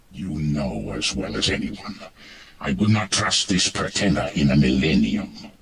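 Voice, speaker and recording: In a put-on character voice, a man growls at a moderate pace with a very deep, low pitch. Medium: video game. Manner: grave, serious.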